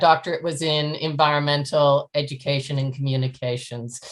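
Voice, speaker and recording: In a Canadian accent, a woman talks at a moderate pace in a very deep, low pitch. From Canada. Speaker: professor. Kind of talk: interview.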